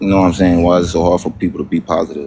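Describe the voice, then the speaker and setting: A man with a very deep, low pitch and monotone, flat intonation amid noticeable background noise. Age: 20s. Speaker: live stream participant. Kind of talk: casual chat. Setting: live stream. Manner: halting, many fillers.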